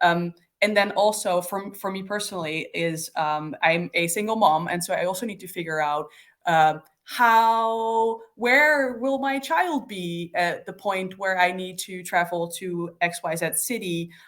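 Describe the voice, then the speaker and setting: Here a woman has an ordinary speaking voice at a medium pitch, with ordinary pitch variation and big swings in loudness, in a very clean recording with a silent background. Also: fairly slow pace. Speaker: developer relations practitioner. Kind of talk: casual chat.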